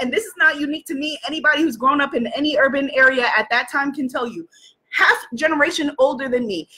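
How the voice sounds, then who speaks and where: With an American accent, a woman projects a raised voice at a high pitch, her tone bright and sharp and her pace fairly quick. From New York City. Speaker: life coach and live-stream host; life coach, live-stream host. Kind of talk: motivational livestream talk. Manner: animated. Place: home room. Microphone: webcam.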